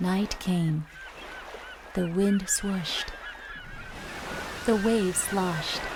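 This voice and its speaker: A woman speaks at a very slow pace, her pitch medium and intonation fairly even. Noticeable background noise sits behind her. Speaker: voice actress. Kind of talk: children's Bible story narration.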